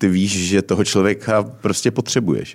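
A man's voice sits at a fairly low pitch and has a dark, mellow tone. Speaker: podcast host. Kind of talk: casual interview chat. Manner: hesitant, many fillers.

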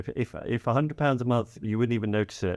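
With an English accent, a man talks at a very fast pace with ordinary pitch variation, in a dry, close sound with no echo against a quiet background. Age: 50s. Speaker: financial coach. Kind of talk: casual chat.

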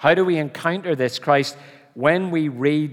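A man with a Belfast accent at a fairly slow pace. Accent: Belfast Northern Irish. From Northern Ireland, Belfast. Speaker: preacher. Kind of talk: sermon.

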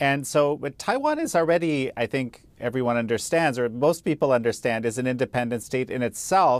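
A man talks fairly quickly in an ordinary speaking voice, with hardly any pauses. His pitch is medium with ordinary variation, on a very clean recording with a silent background. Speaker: interviewer. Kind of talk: interview.

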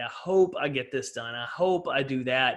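Ordinary pitch variation and a moderate pace mark a man with an ordinary speaking voice. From East Texas. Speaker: motivational speaker and author. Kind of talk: podcast interview. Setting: video call.

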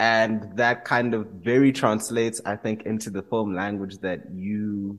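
An unremarkable speaking voice from a man, fairly low in pitch and fairly slow, on a very clean recording with a silent background. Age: 20s. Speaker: podcast host. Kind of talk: interview.

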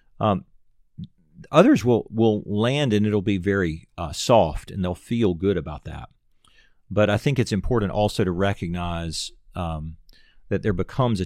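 A man with a very deep, low pitch and a Southern US accent speaks at a moderate pace with ordinary pitch variation on a very clean recording with a silent background. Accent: Southern American. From US South, Nashville, Tennessee. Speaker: pastor. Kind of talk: casual chat.

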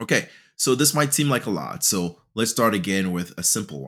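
Recorded very cleanly against a silent background, a man talks in a fairly low pitch at a fairly quick pace with lively intonation. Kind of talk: solo educational podcast talk. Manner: raises voice when animated.

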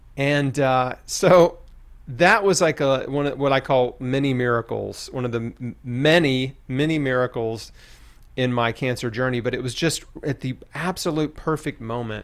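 A man with an American accent and a normal speaking voice talks at a moderate pace, medium in pitch, with ordinary pitch variation. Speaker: cancer survivor and author. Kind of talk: testimony.

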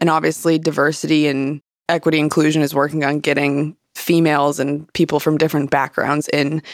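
A woman with an American accent, very deep and low in pitch, in a monotone, flat intonation on a very clean recording with a silent background. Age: 20s. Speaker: golf professional. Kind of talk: interview.

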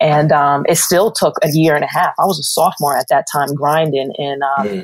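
Her pitch very deep and low, a woman talks at a fairly quick pace. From New York. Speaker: TV sports producer. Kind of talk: interview. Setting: podcast.

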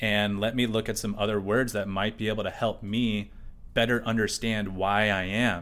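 A man's fairly low, monotone voice with flat intonation, a moderate pace and very even loudness. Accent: American. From USA. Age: 30s. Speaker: artist. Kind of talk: casual interview chat. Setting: artist's studio.

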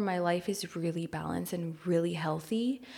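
Recorded very cleanly with a silent background, a woman talks at a moderate pace in a fairly low pitch with ordinary pitch variation. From Los Angeles, US. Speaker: photographer and podcast co-host. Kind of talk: interview, talking about her life.

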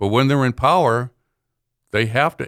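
A man with an American accent and ordinary pitch variation, on a very clean recording with a silent background and a dry, close sound with no echo. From Boston, Massachusetts. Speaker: author. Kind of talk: casual chat. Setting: studio. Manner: hesitant with fillers.

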